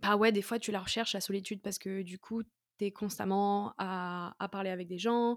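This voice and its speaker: A woman's medium-pitched, flat, monotone delivery at a moderate pace, dry and close with no echo, on a very clean recording with a silent background. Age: 20s. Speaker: podcast host. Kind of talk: solo podcast monologue. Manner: casual, with many hesitations.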